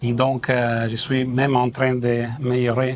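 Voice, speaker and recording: A man speaks with an Italian accent. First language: Italian (speaking French). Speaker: ambassador. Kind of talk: formal ceremony speech. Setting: official ceremony. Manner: halting.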